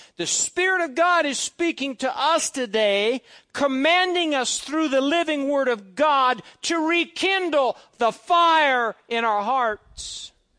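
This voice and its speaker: Very slowly and in a raised, projected voice, a man speaks at an extremely high pitch with a bright, sharp tone and lively intonation, in a dry, close recording with no echo and a quiet background. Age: 50s. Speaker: pastor. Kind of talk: sermon.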